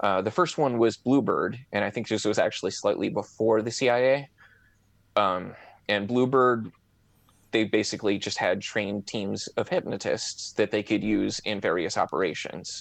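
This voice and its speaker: At a moderate pace and with ordinary pitch variation, a man speaks in a normal speaking voice, fairly low in pitch, against a quiet background. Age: 30s. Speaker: amateur hypnotist and online forum moderator. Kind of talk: casual interview.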